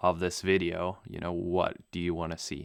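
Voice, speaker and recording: In a German accent, a man speaks fairly slowly with a very deep, low pitch and flat, monotone intonation. The recording is very clean, with a silent background. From Namibia. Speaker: pilot and video creator. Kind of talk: podcast interview. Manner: casual, hesitant with fillers.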